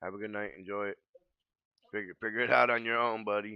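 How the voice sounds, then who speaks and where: An animated man with an American accent talks at a very fast pace. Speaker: gaming streamer. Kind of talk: casual chat.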